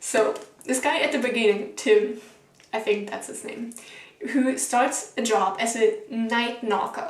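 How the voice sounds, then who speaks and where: A woman with a German accent, animated tone and fairly slow pace, big swings in loudness, audible room echo and noticeable background noise. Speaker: book vlogger. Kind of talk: casual vlog review. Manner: animated, casual.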